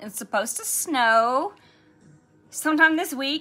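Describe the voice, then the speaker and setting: A relaxed tone with lively intonation at a moderate pace, over faint music in the background. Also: woman. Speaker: nail polish livestream host. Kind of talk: casual live chat while swatching nail polish. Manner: chatty, relaxed. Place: shop. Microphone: phone near.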